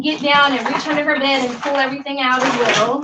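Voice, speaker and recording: Raising and projecting her high-pitched voice, a woman speaks in a flat monotone. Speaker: cleaning vlogger. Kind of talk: live cleaning vlog narration. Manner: loud.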